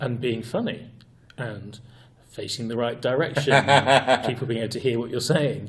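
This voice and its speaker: A man's somewhat breathy voice at medium pitch, with fairly even intonation and a moderate pace. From United Kingdom. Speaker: improv trainer and author, guest. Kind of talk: interview answer, explaining improv training.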